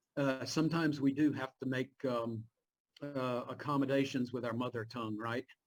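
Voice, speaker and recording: Male voice at a medium pitch with a Southern US accent, monotone, flat intonation and a moderate pace. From Virginia, US. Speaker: Bible professor. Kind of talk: class Q&A chat. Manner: halting.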